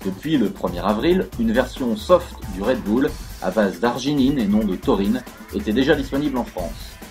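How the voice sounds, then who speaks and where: Background music behind a man's moderately paced speech. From France. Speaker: narrator and stage actor. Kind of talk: news bulletin read.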